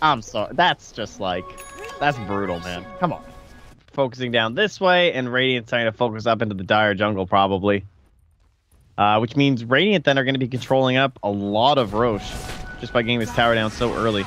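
A man at a medium pitch with ordinary pitch variation, talking at a fairly quick pace over background music. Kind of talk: esports co-commentary. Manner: conversational, analytical.

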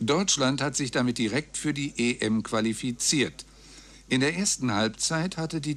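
With lively intonation, a man talks at a moderate pace. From Germany. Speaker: radio news announcer. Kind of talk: radio news reading. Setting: radio broadcast, 1999 recording. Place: booth. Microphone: studio mic.

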